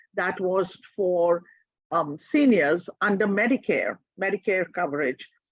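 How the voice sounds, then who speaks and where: Speaking at a fairly slow pace, a woman with an Indian accent uses lively intonation. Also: medium pitch for a woman. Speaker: social worker. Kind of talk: presentation seminar.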